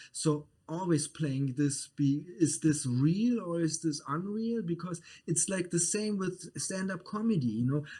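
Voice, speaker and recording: A speaker with a German accent talks with hardly any pauses, using ordinary pitch variation and a dark, mellow tone. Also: man, high pitch for a man. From Germany. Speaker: media producer. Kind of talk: casual chat. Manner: halting.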